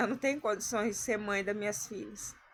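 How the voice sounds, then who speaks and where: The woman's voice sits fairly high in pitch. She talks fairly slowly. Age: 30s. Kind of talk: personal testimony to camera.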